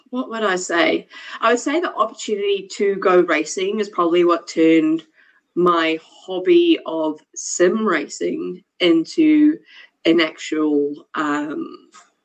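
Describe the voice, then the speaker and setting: A woman with a New Zealand accent speaks at a very slow pace. Her medium-pitched voice has lively intonation. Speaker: motorsport engineer and racer. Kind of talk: casual chat.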